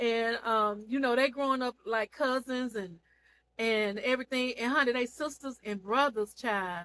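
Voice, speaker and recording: On a very clean recording with a silent background, a woman speaks in an animated, bright, sharp tone at a high pitch, with ordinary pitch variation and a moderate pace. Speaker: online seller and TV show reviewer. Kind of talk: casual vlog recap of a TV series.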